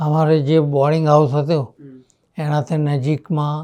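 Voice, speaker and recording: A man talks with a fairly high pitch and a dark, mellow tone. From Charotar, Gujarat, India. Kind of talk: interview answer.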